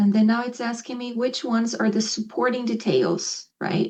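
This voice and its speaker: A woman's voice, pitched fairly high, comes through somewhat breathy. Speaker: ESL professor. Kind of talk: presentation to faculty; instructional video for students.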